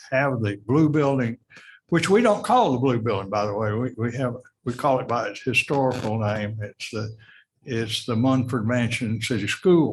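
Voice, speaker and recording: A man with a Tennessee accent talks at a moderate pace and medium pitch. His voice is somewhat breathy, with ordinary pitch variation. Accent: Tennessee Southern. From US South. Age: 80s+. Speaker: heritage preservation representative. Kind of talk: public comment at city meeting. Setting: city council meeting.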